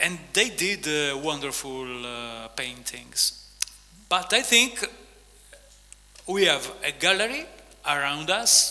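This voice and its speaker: A man speaks very slowly in an Italian accent, his pitch swinging very widely, with long, frequent pauses. Audible room echo and noticeable background noise fill the recording. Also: fairly high pitch for a man. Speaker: author and visual artist. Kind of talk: on-stage interview. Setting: stage with audience. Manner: halting.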